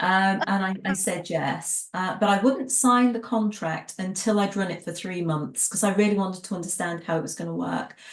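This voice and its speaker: A somewhat breathy woman with an American accent speaks at a fairly quick pace in a medium pitch, with ordinary pitch variation. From England. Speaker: tea business trainer and former tea room owner. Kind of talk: interview. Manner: conversational, with frequent fillers and restarts.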